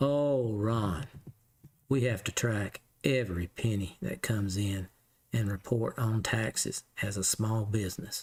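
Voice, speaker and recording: A man's fairly low, somewhat breathy voice with a Southern US accent, ordinary pitch variation, and a fairly slow pace. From US South. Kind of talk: casual Q&A.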